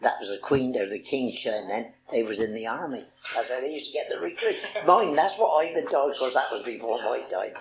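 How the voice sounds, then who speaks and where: Over noticeable background noise, a man talks at a fairly quick pace with a Wiltshire accent. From Marlborough, Wiltshire, England. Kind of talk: oral history interview answer.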